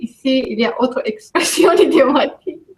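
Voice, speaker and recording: A woman with a Greek accent, very slow in pace and lively in intonation. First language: Greek (speaking French). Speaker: immigrant in French conversation workshop. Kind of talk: casual group conversation.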